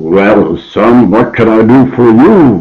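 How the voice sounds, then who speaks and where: In a put-on character voice, the speaker sounds gruff and talks at a very slow pace. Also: man. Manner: gruff, businesslike.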